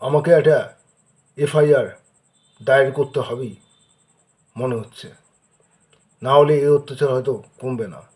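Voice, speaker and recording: A man's fairly high, somewhat breathy voice shows big swings in loudness. His intonation stays fairly even. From Kolkata, India. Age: 40s. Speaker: local resident making a public complaint. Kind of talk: personal video appeal. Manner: halting.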